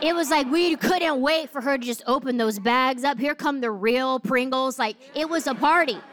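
Against noticeable background noise, a woman with an American accent talks in a high pitch and an animated tone, with hardly any pauses. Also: ordinary pitch variation, moderate pace. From New Jersey. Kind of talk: sermon.

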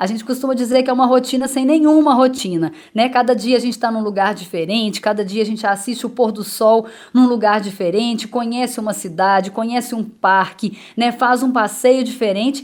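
Moving at a moderate pace, a woman speaks at a high pitch. Her pitch variation is ordinary. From Minas Gerais, Brazil (Itaúna). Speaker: travel journalist. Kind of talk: radio interview.

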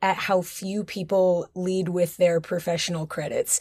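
Her pace is moderate. The woman keeps a medium pitch. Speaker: commercial dancer and podcast host. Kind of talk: interview. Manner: animated.

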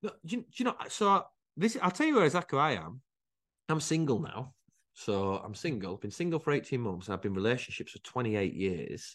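A man with a northern English accent talks fairly quickly at a medium pitch, his pitch swinging very widely. There is vocal fry in his voice, and the background is quiet. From northern England, Rochdale area. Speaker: entrepreneur. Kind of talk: casual chat. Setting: outdoors.

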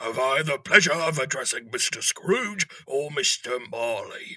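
A man's put-on character voice, raspy and fairly high in pitch, at a fairly slow pace, with a dry, close sound and no echo. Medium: audio drama. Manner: polite, formal.

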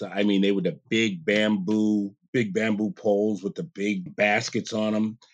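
A man with an American accent talks at a fairly slow pace in a fairly low register, a plain, everyday voice. The recording is very clean, with a silent background. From New York (Queens, then Catskills). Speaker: president of a skiing nonprofit. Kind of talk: interview.

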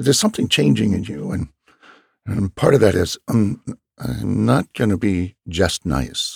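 A man with a very deep, low pitch and vocal fry swings his pitch very widely at a moderate pace, recorded dry and close with no echo. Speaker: podcast host. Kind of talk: compassionate conversation.

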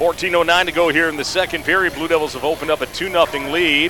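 A man's animated, energetic tone amid noticeable background noise. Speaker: radio play-by-play announcer. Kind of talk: live commentary. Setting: radio broadcast from arena. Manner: rapid-fire, fluent play-by-play; animated, steady, energetic.

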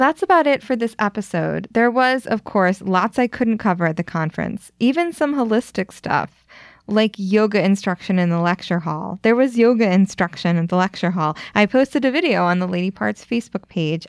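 In a very clean recording with a silent background, a woman with an American accent uses an ordinary speaking voice, lively intonation and a moderate pace with hardly any pauses. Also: medium pitch for a woman. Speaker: podcast host. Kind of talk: scripted narration and interviewing.

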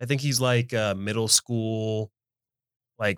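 On a very clean recording with a silent background and a dry, close sound with no echo, a man speaks very slowly in a fairly low voice with fairly even intonation. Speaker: podcast co-host. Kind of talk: casual banter.

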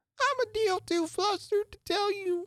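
Extremely high-pitched and squeaky, a put-on character voice. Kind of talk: rustic, dialect speech.

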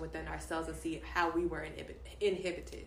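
A woman's fairly quick speech in an American accent, with audible room echo and noticeable background noise. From Dallas, Texas. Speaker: guest. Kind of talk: casual chat.

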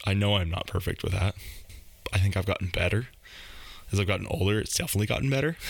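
A man with an American accent, fairly low-pitched and somewhat breathy, at a very fast pace with long, frequent pauses, ordinary pitch variation and very even loudness. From Washington, US Pacific Northwest. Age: 30s. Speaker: co-host for the episode, host's husband. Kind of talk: casual chat.

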